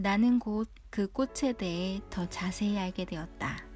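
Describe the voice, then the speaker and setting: With music in the background, a woman of medium pitch speaks at a very slow pace. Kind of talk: storybook reading. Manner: soft-spoken.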